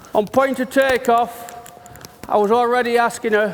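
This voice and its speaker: A man with a high-pitched voice talks at a moderate speed, with noticeable background noise behind him. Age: 60s. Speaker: horse riding trainer. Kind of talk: live riding demonstration.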